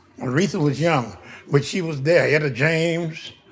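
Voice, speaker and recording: Audible room echo around a man's fairly high voice, moving at a moderate pace. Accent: American. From US West Coast, West Oakland, California. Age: 80s+. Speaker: local elder. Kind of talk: oral history interview.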